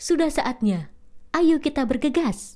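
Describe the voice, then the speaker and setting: A woman's put-on character voice, high in pitch, with lively intonation at a fairly slow pace. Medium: read story.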